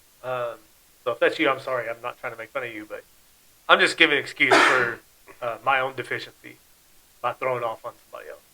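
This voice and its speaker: Very fast speech broken by long, frequent pauses, with big swings in loudness and noticeable background noise. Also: man. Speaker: podcast host. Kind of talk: casual chat. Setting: studio. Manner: trails off at sentence ends; falling intonation, down talker.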